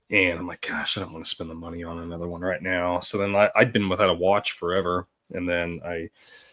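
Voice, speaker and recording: The delivery comes at a very fast pace with a bright, sharp tone. The intonation is monotone and flat, with big swings in loudness. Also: man, very deep, low pitch for a man. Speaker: podcast co-host. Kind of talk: casual chat.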